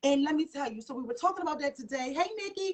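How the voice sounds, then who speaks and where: A woman talks at a fairly quick pace. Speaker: talk show host. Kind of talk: live stream talk show. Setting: live stream. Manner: fast; animated.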